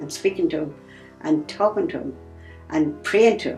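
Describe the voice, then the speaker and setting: A woman is speaking. Music plays behind her. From Ireland. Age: 80s+. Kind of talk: interview answer.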